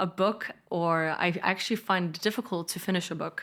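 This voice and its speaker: A woman with a slight Danish accent speaks at a medium pitch on a very clean recording with a silent background. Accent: slight Danish accent in fluent English. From Denmark. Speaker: politician and entrepreneur. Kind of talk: podcast interview. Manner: casual, animated storytelling with many fillers.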